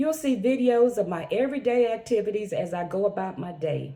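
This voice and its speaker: A woman talks at a moderate pace in a dark, mellow, somewhat breathy tone. Her pitch swings very widely. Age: 70s. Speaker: lifestyle vlogger. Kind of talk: channel introduction monologue.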